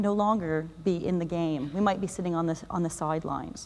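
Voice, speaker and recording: A woman with a Canadian accent talks at a fairly quick pace. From Canada. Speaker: UX design director, conference speaker. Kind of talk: conference talk. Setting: stage with audience. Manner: fast; animated.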